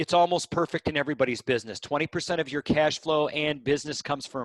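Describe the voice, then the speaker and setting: In a dry, close sound with no echo, a man with an ordinary speaking voice and a fairly high pitch talks at a fairly quick pace. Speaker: business coach. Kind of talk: webinar presentation. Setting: conference call.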